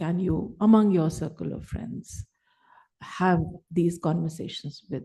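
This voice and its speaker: A woman speaks at a fairly slow pace with a fairly low pitch and ordinary pitch variation. Her tone is dark and mellow, with vocal fry. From Delhi, India. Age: 60s. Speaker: writer, panel speaker. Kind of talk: panel talk. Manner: conversational, code-switching Hindi and English.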